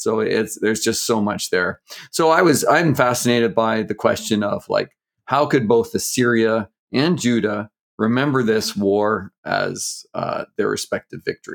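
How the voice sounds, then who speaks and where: A plain, everyday voice from a man with a Canadian accent, medium in pitch, with lively intonation and a moderate pace, in a very clean, dry, close recording with no echo and a silent background. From Canada. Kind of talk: interview.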